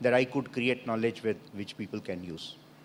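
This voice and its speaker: A man talks in an Indian accent. His pitch varies in an ordinary way. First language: Odia. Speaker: panelist. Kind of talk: panel discussion. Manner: hesitant, many fillers.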